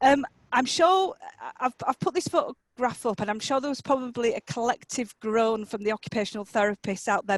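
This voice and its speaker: Using lively intonation, a woman with a Yorkshire accent talks at a fairly quick pace in a high pitch, with a dry, close sound that has no echo. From Yorkshire, England. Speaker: occupational therapist and academic. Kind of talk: conference presentation.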